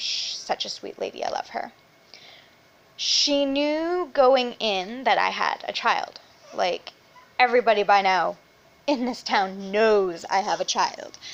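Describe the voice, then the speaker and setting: A high-pitched woman speaks at a fairly slow pace with very wide pitch swings. Her pauses are long and frequent. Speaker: vlogger. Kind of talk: casual chat. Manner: loud; animated.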